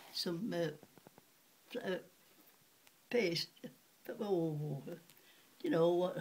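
In a Yorkshire accent, a woman speaks at a very slow pace with long, frequent pauses, her somewhat breathy voice fairly low in pitch with ordinary pitch variation. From Sheffield, England. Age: 80s+. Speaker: retired cutlery polisher. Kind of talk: interview answer. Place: home room. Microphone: webcam.

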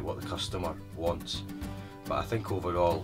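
Clear music plays in the background as a man talks in an eastern Scottish accent. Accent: east coast Scottish. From Scotland, east coast. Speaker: tour guide. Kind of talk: interview answer. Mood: warm, storytelling, smiling. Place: car.

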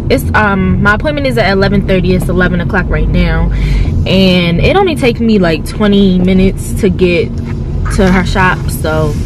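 Music plays behind a woman whose voice sounds dry, with no echo. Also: moderate pace. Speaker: vlogger. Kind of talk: casual vlog chat. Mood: chatty, a bit nervous. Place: car. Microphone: phone near.

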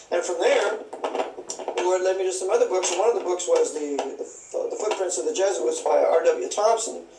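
Speaking at a moderate pace in an American accent, a man is heard with audible room echo and noticeable background noise. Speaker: author and conspiracy researcher. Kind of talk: interview.

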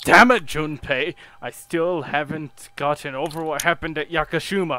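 A man's growling, put-on character voice, fairly high in pitch, at a moderate pace. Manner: growling, angry.

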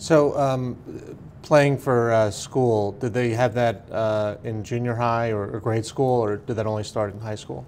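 A man speaks at a fairly slow pace. His intonation stays fairly even over light background noise. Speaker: oral history interviewer. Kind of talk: interview questions. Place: meeting room.

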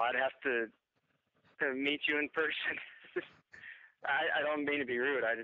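The pace is moderate and the intonation fairly even. The sound is dry with no echo against a quiet background. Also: man. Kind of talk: phone conversation. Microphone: phone line.

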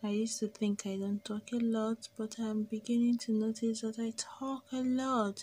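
A woman's fairly high voice, dark and mellow in tone and somewhat breathy, flat and monotone, at a moderate pace with hardly any pauses, over light background noise. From Nigeria. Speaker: vlogger; vlogger in car. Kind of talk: casual vlog narration. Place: car. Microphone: phone near.

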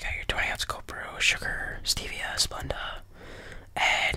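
At a fairly slow pace, a man speaks in a whisper. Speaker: content creator. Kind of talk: comedic role-play skit as a cashier. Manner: soft close-mic ASMR barista voice. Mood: playful, mock serious. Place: home room. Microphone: studio mic.

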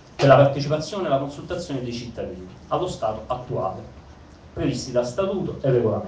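A fairly high-pitched man at a very fast pace with lively intonation, over noticeable background noise. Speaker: participant with legal/procedural expertise. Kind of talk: public assembly speech.

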